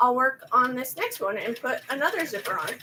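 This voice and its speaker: Her voice raised and projected, a woman speaks in a high pitch with lively intonation. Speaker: craft channel owner, embroidery maker. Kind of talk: casual craft vlog chat while working. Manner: halting, stumbling over words.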